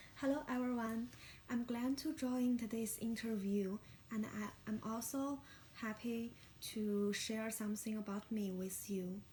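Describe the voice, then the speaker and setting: The speaker has a Chinese accent, and there is noticeable background noise. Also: fairly slow pace. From China. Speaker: graduate student. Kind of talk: mock job interview answer. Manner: halting, many fillers.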